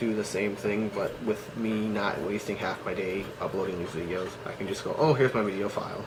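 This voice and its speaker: The recording carries noticeable background noise and audible room echo. A man talks at a moderate pace in a fairly low pitch with fairly even intonation. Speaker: cosplay vlogger. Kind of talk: casual vlog monologue. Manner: halting, many fillers.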